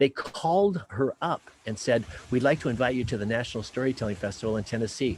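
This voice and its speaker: A man speaks very fast at a medium pitch, somewhat breathy. His intonation is lively. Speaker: professional storyteller. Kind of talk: live storytelling performance over Zoom.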